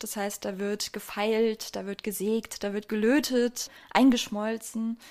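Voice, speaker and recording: A woman's fairly high voice at a very slow pace, fairly even in intonation, in a very clean recording with a silent background. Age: 20s. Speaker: goldsmith. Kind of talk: interview. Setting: workshop.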